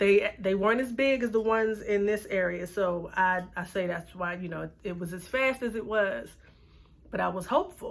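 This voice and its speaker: This woman talks in a normal speaking voice at a moderate pace, with ordinary pitch variation. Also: medium pitch for a woman. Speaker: beauty vlogger. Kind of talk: casual vlog talk.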